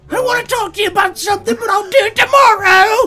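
A put-on character voice at an extremely high pitch and a very fast pace. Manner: comedic, exaggerated.

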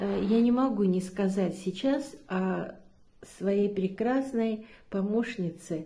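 A somewhat breathy woman's voice with a dark, mellow tone, ordinary pitch variation and a very slow pace. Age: 70s. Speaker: product testimonial giver, yoga trainer. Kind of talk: testimony. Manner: hesitant, with filler sounds. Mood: warm, enthusiastic, grateful. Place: home room. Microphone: phone near.

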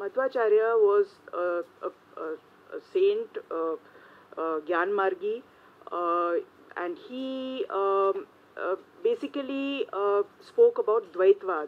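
A woman talks at a very slow pace with long, frequent pauses. Her pitch swings very widely and her loudness shifts a lot. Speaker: journalist. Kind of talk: panel talk. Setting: stage with audience. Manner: shy, nervous. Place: meeting room. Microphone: podium.

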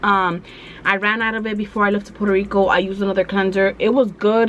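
Light background noise behind a woman talking. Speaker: beauty vlogger. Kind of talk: casual vlog chat. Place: home room. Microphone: phone near.

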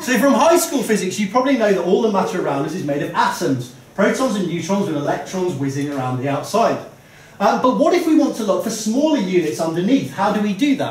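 A man talks at a very fast pace in a room with audible echo. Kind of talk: comedic science talk. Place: bar. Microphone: camera far.

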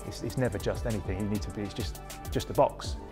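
A man is speaking with clear music in the background. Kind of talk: interview answer. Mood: enthusiastic, positive. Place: gym. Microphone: lapel.

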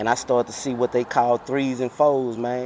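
Over light background noise, a man speaks at a medium pitch and moderate pace in a monotone, flat intonation, the sound dry with no echo. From Houston, Texas (Fifth Ward). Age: 40s. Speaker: car culture veteran, former street figure. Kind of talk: casual interview. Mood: relaxed, storytelling. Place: street.

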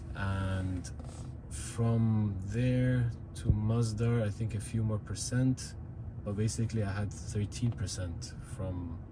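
Over noticeable background noise, a man talks at a fairly low pitch with ordinary pitch variation. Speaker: car owner vlogger. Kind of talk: casual vlog chat. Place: car. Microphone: phone near.

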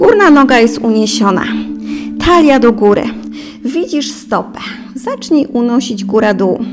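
Clear music plays in the background as a woman speaks at a fairly slow pace with ordinary pitch variation. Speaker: fitness instructor. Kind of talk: exercise class instruction. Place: home room.

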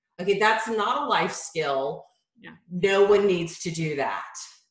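A woman talks at a fairly slow pace with ordinary pitch variation. The background is quiet, though audible room echo is present. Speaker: yoga teacher guest. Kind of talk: interview answer. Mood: warm, humorous, relaxed. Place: home room. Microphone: video call.

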